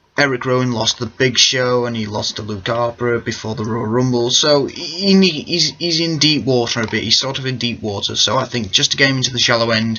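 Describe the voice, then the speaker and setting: Amid noticeable background noise, a man talks at a fairly quick pace with hardly any pauses and ordinary pitch variation. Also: medium pitch for a man. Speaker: wrestling fan video maker. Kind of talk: casual predictions monologue. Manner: loud.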